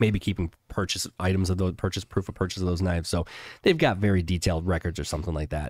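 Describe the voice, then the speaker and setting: A man with an American accent talks at a very fast pace in a very deep, low pitch. His intonation is monotone and flat, on a very clean recording with a silent background. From Chicago, US Midwest. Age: 40s. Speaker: insurance business owner. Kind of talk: casual interview.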